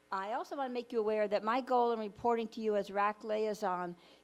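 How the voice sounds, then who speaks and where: Against a silent background in a very clean recording, a woman talks at a medium pitch with ordinary pitch variation. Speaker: resident council liaison. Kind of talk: committee meeting report. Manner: fast.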